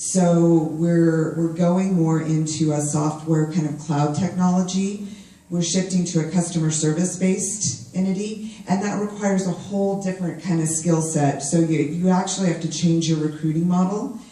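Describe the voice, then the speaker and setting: The speech runs at a moderate pace with hardly any pauses. Noticeable background noise is present. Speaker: HR professional at a tech company. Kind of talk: panel discussion. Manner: loud.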